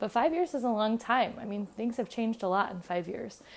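Here is an unremarkable speaking voice at a moderate pace with ordinary pitch variation. The recording is very clean, with a silent background. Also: woman. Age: 20s. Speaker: middle school choir teacher. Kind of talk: solo podcast monologue. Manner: casual with frequent fillers.

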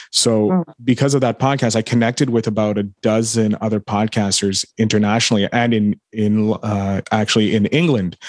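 In a plain, everyday voice, the speaker goes at a moderate pace with fairly even intonation, hardly any pauses and very even loudness against a quiet background. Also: man, fairly low pitch for a man. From Quebec, Canada. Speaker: podcaster and entrepreneur. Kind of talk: casual interview chat. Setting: remote call.

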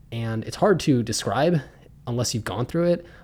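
A man speaks with an American accent at medium pitch. He has an unremarkable speaking voice with ordinary pitch variation and a fairly quick pace. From US, Pittsburgh, Pennsylvania. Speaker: podcast host. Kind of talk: personal testimony.

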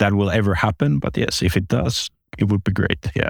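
Speaking in a Finnish accent, a man talks at a fairly low pitch and moderate pace. His voice sounds dry and close, with no echo. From Finland, Espoo. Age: 40s. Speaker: online casino executive. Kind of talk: interview. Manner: halting, with many repetitions.

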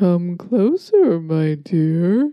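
A put-on character voice, female-sounding and fairly low in pitch for a woman. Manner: coaxing, sweet.

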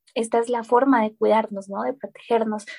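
Somewhat breathy and dark, mellow in tone, a woman's fairly high voice moves at a moderate pace with fairly even intonation in a dry, close sound with no echo. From Colombia. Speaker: recycling app founder. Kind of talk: interview. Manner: frequent hesitations and repetitions.

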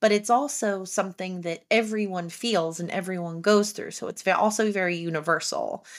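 A woman speaks with an American accent at medium pitch, with ordinary pitch variation. The recording is very clean, with a silent background. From New Jersey, Haddon Township. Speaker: podcast host. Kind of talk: casual interview chat.

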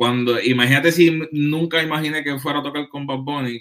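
An unremarkable speaking voice from a man, at a moderate pace with fairly even intonation. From Puerto Rico. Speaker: trumpet player. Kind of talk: casual chat. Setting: in person, recorded on laptop.

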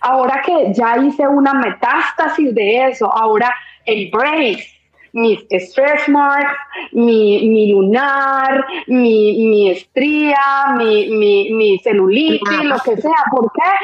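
A woman speaks at a very slow pace and a high pitch. Her loudness stays very even, and her pitch variation is ordinary. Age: 40s. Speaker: guest on sex-talk podcast. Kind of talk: casual chat. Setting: online live stream.

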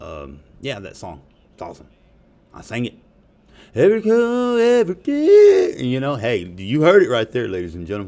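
With a Southern US accent, a man speaks at a moderate pace, leaving long, frequent pauses, his loudness swinging widely against noticeable background noise. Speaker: podcast host. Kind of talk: casual profane rant. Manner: animated, profane, joking.

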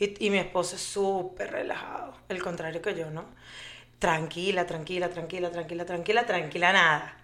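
A woman speaks in a fairly low pitch with monotone, flat intonation. Audible room echo is present. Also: moderate pace. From Venezuela. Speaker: mother and fertility foundation founder. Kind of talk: interview. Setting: studio.

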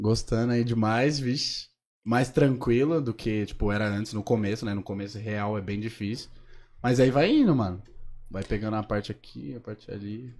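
This man talks in an ordinary speaking voice at a medium pitch with ordinary pitch variation, on a very clean recording with a silent background. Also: moderate pace. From São Paulo state, Caieiras. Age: 20s. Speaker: social media influencer. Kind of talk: casual chat.

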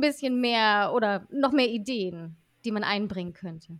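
A woman speaks at a fairly slow pace with lively intonation, recorded very cleanly against a silent background. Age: 30s. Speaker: vocational school teacher. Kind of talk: interview.

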